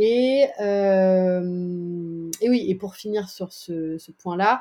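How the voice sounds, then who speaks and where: Dark and mellow in tone, a woman's medium-pitched voice carries ordinary pitch variation. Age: 30s. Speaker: climate consultancy communications manager. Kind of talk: interview.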